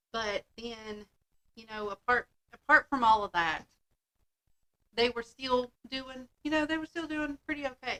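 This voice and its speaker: A woman with a high pitch and a bright, sharp tone speaks at a fairly slow pace with ordinary pitch variation. Her loudness swings widely, she pauses long and often, and the sound is dry and close with no echo. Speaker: podcast host. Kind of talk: casual chat.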